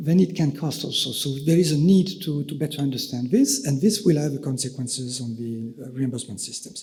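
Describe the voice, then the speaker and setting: A man with a French accent talks at a fairly quick pace, with hardly any pauses. His pitch is fairly high. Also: ordinary pitch variation. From France. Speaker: EU official. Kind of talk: conference presentation. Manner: halting, many fillers.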